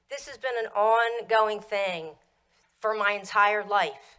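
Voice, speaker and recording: A bright, sharp tone in a Philadelphia accent, at a fairly slow pace. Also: woman. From US Northeast, Pennsylvania. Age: 50s. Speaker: public commenter. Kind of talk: public comment. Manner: animated.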